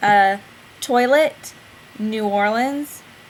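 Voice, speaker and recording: A fairly high-pitched woman's voice in a Southern US accent, at a very slow pace. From Southern United States. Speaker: vlogging mom. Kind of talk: casual talk to camera.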